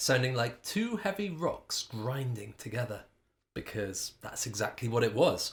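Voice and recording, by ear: A natural voice reads the text aloud. Nothing much stirs in the quiet background.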